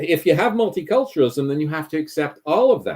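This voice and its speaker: With a Canadian accent, a man talks at a fairly high pitch. His pitch swings very widely. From Canada. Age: 70s. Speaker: climate policy commentator. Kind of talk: interview discussion. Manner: hesitant, many fillers.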